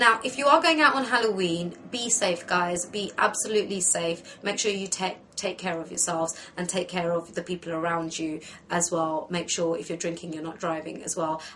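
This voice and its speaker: A woman's fairly low-pitched voice with ordinary pitch variation, amid noticeable background noise. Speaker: makeup tutorial host. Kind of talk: tutorial. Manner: fast.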